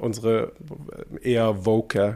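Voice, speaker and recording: A man speaks at a fairly low pitch in a monotone, flat intonation. The recording is very clean, with a silent background. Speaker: drag artist and podcast co-host. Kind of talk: casual chat. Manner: casual street-style speech.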